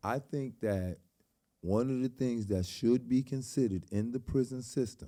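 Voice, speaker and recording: With a New York accent, a man speaks at a moderate pace in a dark, mellow tone with lively intonation. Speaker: podcast host. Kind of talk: casual interview.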